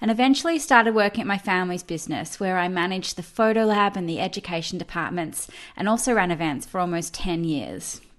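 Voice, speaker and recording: In an Australian accent, a woman speaks at a very fast pace with an enthusiastic tone, medium pitch and ordinary pitch variation. The background is quiet. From Australia, Melbourne. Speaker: professional photo organiser. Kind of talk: online summit presentation.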